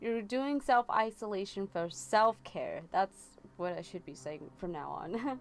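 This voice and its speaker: Very slow speech with lively intonation over music in the background. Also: woman. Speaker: tarot reader livestreamer. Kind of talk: live tarot reading with chat. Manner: casual, filler-heavy.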